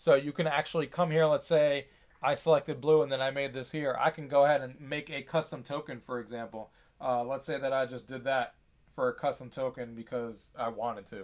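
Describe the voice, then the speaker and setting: The recording is very clean, with a silent background. The pace is fairly quick and the intonation fairly even. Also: man. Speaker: gaming tech youtuber. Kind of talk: product demo tutorial. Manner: fast; casual, many fillers.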